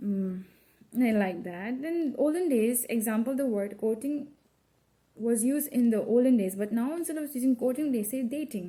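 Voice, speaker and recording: Speaking with a slight non-native accent, a woman uses a dark, mellow tone at a fairly high pitch with ordinary pitch variation. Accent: slight mother-tongue tone in English. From India, Assam. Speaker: college student. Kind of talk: class presentation. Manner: halting, with self-corrections.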